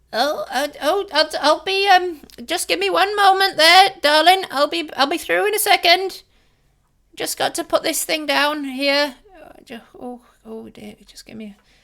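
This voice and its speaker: A high-pitched, put-on character voice. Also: moderate pace. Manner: flustered, apologetic.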